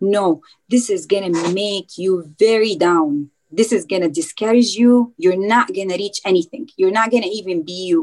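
Music plays in the background as a woman speaks at a medium pitch and a moderate pace with ordinary pitch variation. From Dubai, UAE. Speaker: dietitian. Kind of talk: interview.

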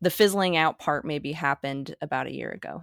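A woman with a very deep, low pitch talks at a fairly quick pace, the sound dry and close with no echo in a very clean recording against a silent background. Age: 20s. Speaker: dream analyst and artist. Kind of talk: casual interview conversation. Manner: hesitant, many fillers.

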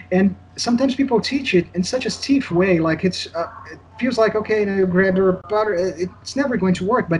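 With a Portuguese accent, a man talks at a fairly quick pace in a high voice with ordinary pitch variation. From Brazil. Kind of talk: casual interview.

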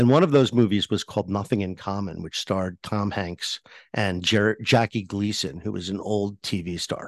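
A man speaks in an unremarkable speaking voice at a fairly low pitch and moderate pace, with ordinary pitch variation. The sound is dry and close with no echo, and the background is quiet. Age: 60s. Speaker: tech columnist and author. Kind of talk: interview. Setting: remote call from home.

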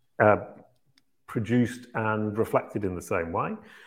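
At a moderate pace, an ordinary speaking voice carries ordinary pitch variation. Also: man. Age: 50s. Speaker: search marketing consultant and company founder. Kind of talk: Q&A interview.

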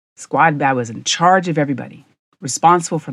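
Against a quiet background, a woman with an American accent speaks in a plain, everyday voice at a fairly low pitch. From rural US. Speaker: podcast host, leadership coach. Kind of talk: monologue storytelling.

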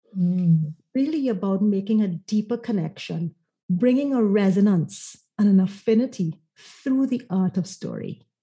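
Her tone is dark and mellow and somewhat breathy, as this woman speaks at a fairly slow pace with a medium pitch and ordinary pitch variation. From Trinidad and Tobago. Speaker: marketing consultant. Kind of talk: interview conversation.

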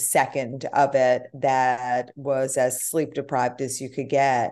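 A woman's very deep, low voice with an American accent, flat and monotone, at a fairly slow pace against a quiet background. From New York. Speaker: hospitality event founder. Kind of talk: interview conversation.

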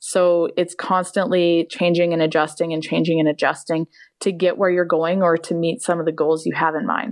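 In a normal speaking voice with a Canadian accent, a woman talks at a moderate pace and fairly low pitch, her intonation fairly even against a quiet background. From Canada. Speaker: fashion designer and trick rider. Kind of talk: casual interview.

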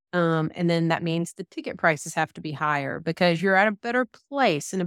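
A woman with a Southern US accent speaks at a fairly quick pace in a fairly low pitch, her intonation lively, the recording very clean with a silent background and a dry, close sound with no echo. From Georgia, US South. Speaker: group practice owner and consultant. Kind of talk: casual interview chat.

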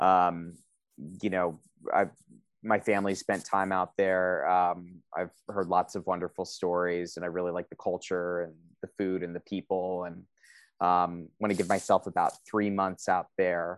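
Against a quiet background, with a dry, close sound and no echo, a man with an American accent speaks at a fairly slow pace in a very deep, low pitch with monotone, flat intonation. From US East Coast (DC metro area, New Jersey). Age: 30s. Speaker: course student on career break. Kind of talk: interview. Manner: halting, many fillers.

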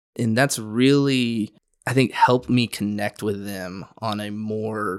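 Big swings in loudness mark this man's unremarkable speaking voice, which sits fairly low in pitch with ordinary pitch variation. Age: 30s. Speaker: youth pastor. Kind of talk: casual chat.

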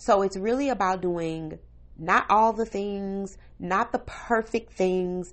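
Her pitch sitting in the medium range with ordinary variation, a woman talks in a normal speaking voice. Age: 40s. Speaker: podcast host, stay-at-home mom. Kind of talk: casual solo monologue. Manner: conversational, laughing at times.

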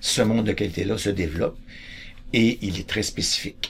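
A somewhat breathy man at a fairly quick pace, with ordinary pitch variation. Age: 60s. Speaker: choice theory educator. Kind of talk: explanatory talk.

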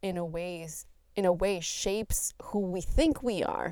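A woman's very slow, dark, mellow voice at fairly low pitch. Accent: Spanish. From Colombia. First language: Spanish. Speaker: podcast host. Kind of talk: solo monologue podcast.

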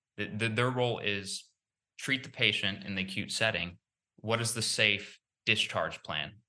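A man with medium pitch uses a normal speaking voice at a moderate pace, with ordinary pitch variation. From Texas. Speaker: resident physician and health tech founder. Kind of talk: interview.

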